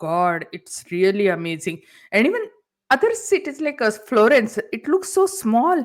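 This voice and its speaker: Speaking at a fairly slow pace, a woman with an Indian accent uses a high pitch and very wide pitch swings. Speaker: entrepreneur. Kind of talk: interview. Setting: talk show.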